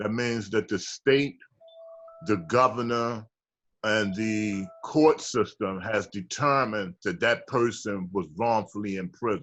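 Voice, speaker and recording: Against music in the background, a man speaks at a very slow pace in a fairly low pitch. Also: ordinary pitch variation. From Baltimore, Maryland. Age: 60s. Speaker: exonerated former prisoner. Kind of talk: interview testimony.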